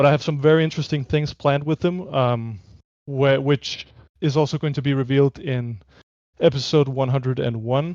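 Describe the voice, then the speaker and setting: Against a quiet background, a man with a non-native accent talks at a fairly high pitch, the sound dry and close with no echo. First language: not English. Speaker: animated web series creator. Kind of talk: casual chat on livestream. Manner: hesitant, many fillers.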